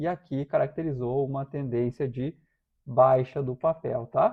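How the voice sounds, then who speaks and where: A man speaks in a somewhat breathy voice. His pitch is medium and his intonation fairly even. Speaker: stock market analyst. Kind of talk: technical analysis livestream. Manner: halting, many fillers.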